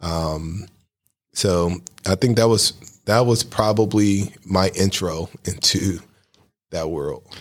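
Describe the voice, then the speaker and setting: Using fairly even intonation, a man with an American accent speaks at a very deep, low pitch. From Cleveland, Ohio (US Midwest). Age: 40s. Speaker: construction company owner. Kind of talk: interview conversation.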